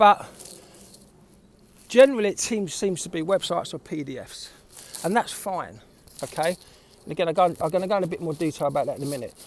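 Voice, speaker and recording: Talking very fast with long, frequent pauses, a man with a South East London accent uses a high pitch, ordinary pitch variation and big swings in loudness. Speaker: creative recruiter, former art director. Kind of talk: casual talk to camera. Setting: outdoors, windy.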